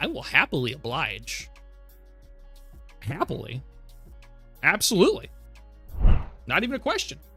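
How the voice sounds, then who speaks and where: A man puts on a high character voice at a moderate pace, with long, frequent pauses. Clear music plays in the background. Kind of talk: stiff announcer-like news delivery.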